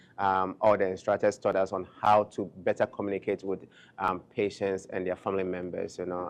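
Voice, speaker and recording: Against a quiet background, a man with a non-native accent talks at a fairly quick pace and a fairly low pitch. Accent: foreign. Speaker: nurse and global health founder. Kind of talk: panel talk. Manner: fast.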